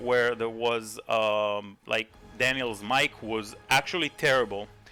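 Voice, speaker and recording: Fairly slow speech from a man, backed by music. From Israel. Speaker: gaming YouTuber. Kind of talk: commentary video. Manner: hesitant, many fillers.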